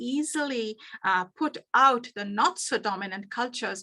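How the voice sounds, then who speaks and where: With a bright, sharp tone, a woman projects her raised voice through very wide pitch swings in a dry, close sound with no echo. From India. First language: Bengali. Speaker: business coach. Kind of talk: workshop presentation. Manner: halting, many fillers.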